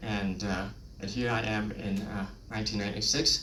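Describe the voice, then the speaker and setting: Against noticeable background noise, a man speaks at a fairly low pitch with a Vietnamese accent. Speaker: lay preacher. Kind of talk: personal testimony.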